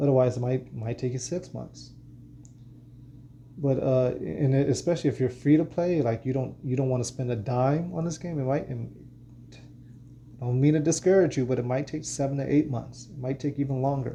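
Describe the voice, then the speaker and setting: A man with a medium pitch speaks at a fairly quick pace, with long, frequent pauses. His voice is somewhat breathy, with a dark, mellow tone. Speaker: gaming content creator. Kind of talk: gaming tutorial. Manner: monotone; halting, many fillers and repeats.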